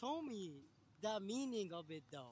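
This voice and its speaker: A man speaks with a Japanese accent at a moderate pace. His pitch swings very widely. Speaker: friend of the artist. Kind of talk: casual chat on a livestream.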